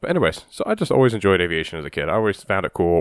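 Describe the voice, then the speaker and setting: A man with an American accent speaks at a very deep, low pitch in a very clean recording with a silent background and a dry, close sound with no echo. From Ohio. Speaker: air traffic controller and podcast host. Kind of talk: casual solo monologue.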